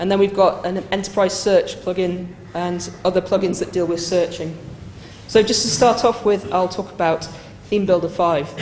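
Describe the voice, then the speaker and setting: With a northern British accent, a woman speaks at a medium pitch and moderate pace with fairly even intonation, amid audible room echo and noticeable background noise. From northern England. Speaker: software consultant and project manager. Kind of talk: conference lightning talk. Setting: stage with live audience.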